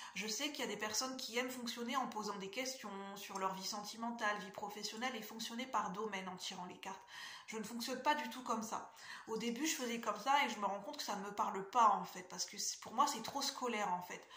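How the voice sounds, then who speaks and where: A woman with a fairly high pitch, ordinary pitch variation and a fairly quick pace, with big swings in loudness, audible room echo and noticeable background noise. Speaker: tarot reader and spiritual coach. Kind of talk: casual vlog talk to viewers. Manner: fast; hesitant with fillers.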